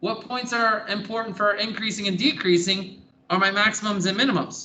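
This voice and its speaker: The voice is raised and projected, moving at a fairly quick pace. Its intonation stays fairly even. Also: man, high pitch for a man. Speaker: math teacher. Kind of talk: classroom lecture. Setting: classroom.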